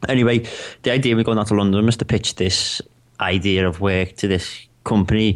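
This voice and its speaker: The speaker talks at a fairly quick pace with flat, monotone intonation in a Liverpool accent. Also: man, quiet background. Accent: Scouse. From Liverpool, England. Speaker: podcast co-host, designer. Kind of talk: casual chat.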